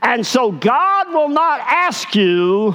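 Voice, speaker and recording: In an Arkansas accent, a man speaks at a high pitch. His pitch swings very wide. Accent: Southern US (Arkansas). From US South, Arkansas. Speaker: pastor. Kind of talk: sermon. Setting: church.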